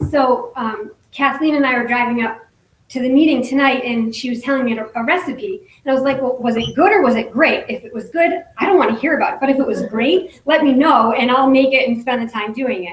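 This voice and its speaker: A woman with a high, shaky voice talks at a fairly quick pace, with lively intonation and hardly any pauses. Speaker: direct sales business leader, former nurse. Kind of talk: motivational talk at business meeting.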